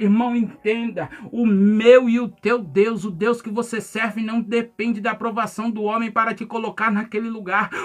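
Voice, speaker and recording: Noticeable background noise sits behind a man with an extremely high pitch. He keeps a moderate pace and a monotone, flat intonation. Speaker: pastor. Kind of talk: sermon.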